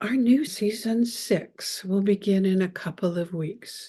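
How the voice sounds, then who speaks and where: A woman's somewhat breathy, dark and mellow voice at a fairly slow pace, over a quiet background. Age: 60s. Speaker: podcast host and business coach. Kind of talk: solo podcast monologue.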